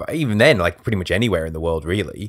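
The man's voice sits at a very deep, low pitch. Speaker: podcast host. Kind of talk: casual podcast chat.

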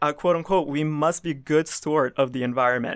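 The voice has a bright, sharp tone and an American accent, with fairly even intonation. The recording is very clean with a silent background. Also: man. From US South. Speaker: student news reporter. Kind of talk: interview. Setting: studio.

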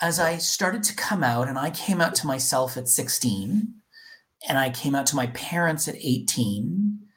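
Speaking very slowly with a Canadian accent, a man with a fairly high, somewhat breathy voice makes very wide pitch swings. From Canada, Toronto. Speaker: corporate diversity leader. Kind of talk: interview.

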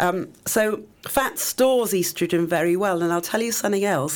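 With an English accent, a woman speaks at medium pitch. Her pitch varies in an ordinary way. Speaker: public health educator and cancer survivor. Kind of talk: radio interview. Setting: radio studio.

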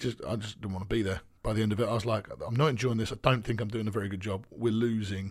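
A man's very fast, somewhat breathy delivery with hardly any pauses, fairly even intonation and a fairly low pitch. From eastern England. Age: 30s. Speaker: basketball coach. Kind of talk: interview.

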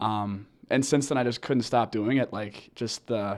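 A man with an American accent speaks at a moderate pace in a plain, everyday voice, his medium pitch and fairly even intonation captured on a very clean recording with a silent background. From Minnesota (Edina). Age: 20s. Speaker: college hockey team captain. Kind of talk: interview.

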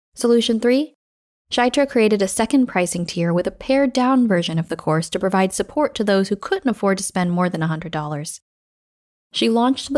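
In a very clean recording with a silent background and a dry, close sound free of echo, a woman with a normal speaking voice talks at a moderate pace with lively intonation. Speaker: podcast host and storyteller. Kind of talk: scripted narration reading a creator story.

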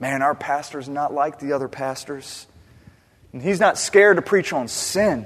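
A man with a plain, everyday voice speaks fairly high for a man at a moderate pace, using lively intonation. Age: 30s. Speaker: pastor. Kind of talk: sermon.

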